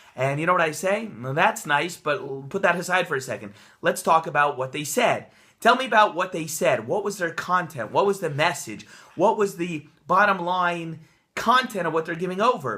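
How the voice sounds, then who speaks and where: A man's high-pitched, bright, sharp and energetic voice, with lively intonation at a moderate pace. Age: young. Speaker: rabbi, Torah teacher and author. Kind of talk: casual talk to camera, Torah portion commentary. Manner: energetic, conversational, with filler words.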